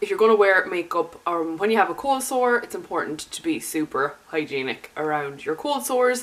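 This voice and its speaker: A woman with an Irish accent at a medium pitch, making very wide pitch swings. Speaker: beauty YouTuber. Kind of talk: makeup tutorial talk to camera.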